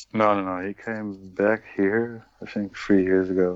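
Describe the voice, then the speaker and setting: With a Dutch accent, a man speaks fairly slowly in a very deep, low voice and a monotone, flat intonation. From Netherlands, Emmen. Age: 40s. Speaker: retired footballer and coach. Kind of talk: interview.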